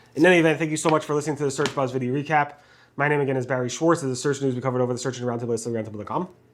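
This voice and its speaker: In a very clean recording with a silent background, a man does a put-on character voice. It is raspy and medium-pitched, delivered at a very fast pace. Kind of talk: podcast sign-off. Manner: speaking very fast.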